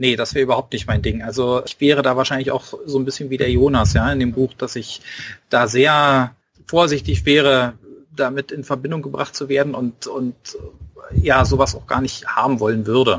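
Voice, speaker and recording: Speaking with a slight Berlin accent, a man keeps a moderate pace, a medium pitch and ordinary pitch variation. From Berlin (Spandau). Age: 40s. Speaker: author. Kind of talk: casual interview.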